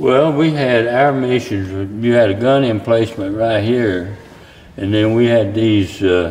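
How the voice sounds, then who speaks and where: In an Appalachian accent, a man speaks at a fairly slow pace in a medium pitch with ordinary pitch variation and very even loudness, amid noticeable background noise and audible room echo. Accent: Appalachian Southern US. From US South, southeastern Kentucky. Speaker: war veteran. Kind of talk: interview.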